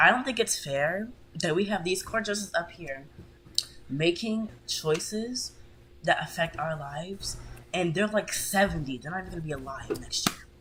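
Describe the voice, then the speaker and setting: The speaker is quiet and talks at a moderate pace over noticeable background noise. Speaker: gamer podcast co-host. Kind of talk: casual chat.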